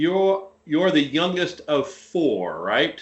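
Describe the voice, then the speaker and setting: This voice has a Tennessee accent. Its pitch variation is ordinary. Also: man. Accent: Southern US (Tennessee). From US South, Nashville, Tennessee. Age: 50s. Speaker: podcast guest. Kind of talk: casual chat.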